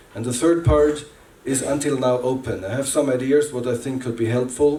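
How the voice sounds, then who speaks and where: Amid noticeable background noise and audible room echo, a man with a non-native accent talks fairly quickly at a medium pitch with fairly even intonation. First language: not English. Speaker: workshop facilitator. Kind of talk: workshop presentation. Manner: halting.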